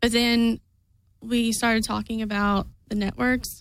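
A woman with a Kentucky accent and a nervous tone, very slow and monotone, flat in intonation, at a fairly high pitch. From southeast Kentucky. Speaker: fan activist and guest. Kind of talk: casual chat. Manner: nervous, hesitant.

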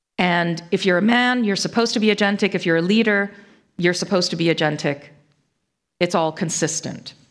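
A woman with a normal speaking voice and an American accent talks at a fairly quick pace and medium pitch, with ordinary pitch variation. Her loudness is very even, and the recording is very clean with a silent background. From US Northeast, Connecticut. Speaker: management lecturer. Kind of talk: conference talk.

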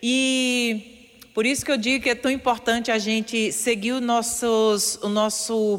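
Through noticeable background noise, a woman with a fairly high pitch speaks at a fairly slow pace. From Paraíba, Brazil (rural Areia). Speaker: radio columnist, former dentist. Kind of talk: motivational radio talk.

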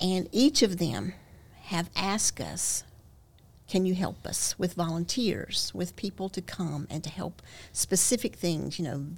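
A woman talks with vocal fry. Her pitch varies in an ordinary way. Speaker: missionary. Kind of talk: casual chat.

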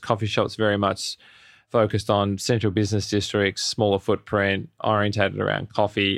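Speaking at a moderate pace with an Australian accent, the voice sounds dry and close, with no echo. The background is quiet. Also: man. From Australia, Melbourne. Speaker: cafe chain founder and CEO. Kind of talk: interview.

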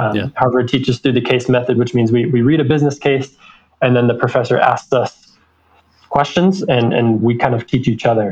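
A man with an American accent speaks at a fairly quick pace and medium pitch, somewhat breathy, with ordinary pitch variation and very even loudness. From Utah. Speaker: MBA student. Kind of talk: interview.

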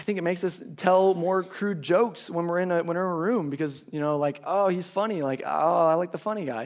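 On a very clean recording with a silent background, a man with a high pitch talks at a fairly quick pace in an American accent, with hardly any pauses. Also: ordinary pitch variation. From Minnesota, Minneapolis. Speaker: pastoral intern. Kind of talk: sermon. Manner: halting, many fillers.

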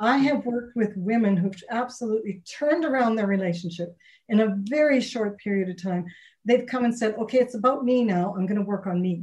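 A woman's somewhat breathy voice at a fairly quick pace, with ordinary pitch variation. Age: 60s. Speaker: relationship coach and author. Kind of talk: casual interview.

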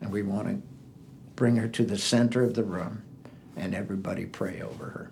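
With an American accent and a fairly low pitch, a man speaks at a fairly quick pace with fairly even intonation and long, frequent pauses in a room with audible echo. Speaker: missionary. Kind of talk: testimony.

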